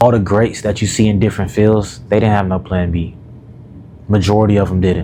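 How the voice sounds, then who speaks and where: This man has an unremarkable speaking voice, fairly low in pitch, with fairly even intonation and a fairly quick pace. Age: 20s. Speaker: self-development YouTuber and coach. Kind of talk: casual vlog monologue. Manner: casual, filler-heavy.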